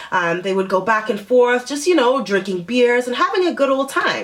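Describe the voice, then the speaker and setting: Noticeable background noise sits under a woman's animated, fairly high voice that swings very widely in pitch. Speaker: vlogger. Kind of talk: storytime vlog.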